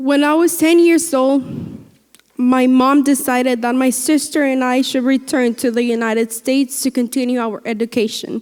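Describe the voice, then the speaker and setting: A woman talks in a high pitch at a moderate pace. Her intonation is fairly even. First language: Spanish. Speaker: graduating student speaker. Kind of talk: commencement speech. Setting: graduation ceremony with audience.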